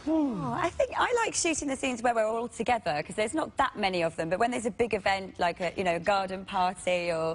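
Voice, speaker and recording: With a northern English accent, a woman talks at a very fast pace with hardly any pauses. Her medium-pitched voice has very wide pitch swings over noticeable background noise. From northern England. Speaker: actor. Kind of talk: talk show interview.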